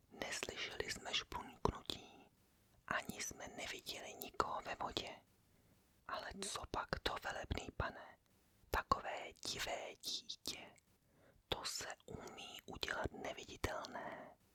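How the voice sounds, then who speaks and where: A woman is whispering. Her pace is very slow. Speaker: ASMR content creator reading a classic novel aloud. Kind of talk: whispered reading of novel dialogue and narration. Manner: whispered, soft, relaxing.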